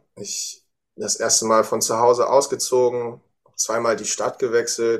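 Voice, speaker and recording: This is a man's voice. His speech moves at a fairly slow pace. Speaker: student podcast host. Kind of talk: scripted narration.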